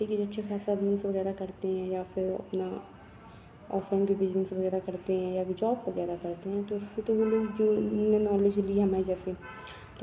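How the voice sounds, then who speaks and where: Over noticeable background noise, a soft-spoken woman talks at a medium pitch in a monotone, flat manner. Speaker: vlogger. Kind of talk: casual vlog monologue. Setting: at home.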